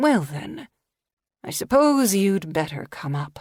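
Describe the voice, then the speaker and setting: A female-sounding put-on character voice, husky and medium-pitched, with very wide pitch swings at a fairly slow pace. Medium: read story. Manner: measured, commanding.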